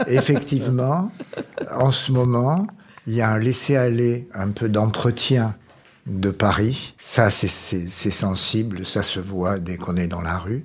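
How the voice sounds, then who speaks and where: A man with a medium-pitched voice, a very slow pace and ordinary pitch variation. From Marseille, France. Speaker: radio show panelist living with Alzheimer's. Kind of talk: casual chat. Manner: halting.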